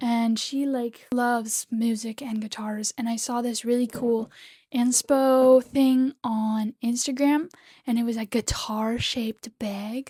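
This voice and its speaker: Over a dry, close sound with no echo, a woman speaks very slowly at a fairly high pitch, her dark, mellow tone held in a monotone, flat intonation. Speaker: crochet small business owner and vlogger. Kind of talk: casual vlog talk. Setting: at home. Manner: whispering a bit to avoid being overheard.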